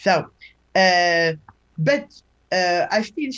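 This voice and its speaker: A somewhat breathy woman with a French accent and very wide pitch swings. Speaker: scholar of Chinese classical texts. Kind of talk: lecture. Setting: live webinar. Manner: halting.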